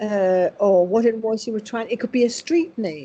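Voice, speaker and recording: Speaking at a fairly slow pace, a woman uses a fairly high pitch and a dark, mellow tone, her pitch swinging very widely. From Denmark. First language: Danish. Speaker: spiritual medium. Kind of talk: interview.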